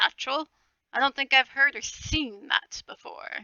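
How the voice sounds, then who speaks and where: A woman puts on a character voice at a high pitch. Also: moderate pace. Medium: read story. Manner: formal, measured, courteous.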